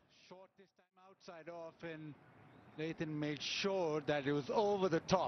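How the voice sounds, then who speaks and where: A man speaks in a normal speaking voice, fairly high-pitched for a man, at a fairly slow pace. His intonation stays fairly even while his loudness swings widely. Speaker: cricket commentator. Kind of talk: live cricket commentary. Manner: conversational, appraising shots with pundit-style remarks.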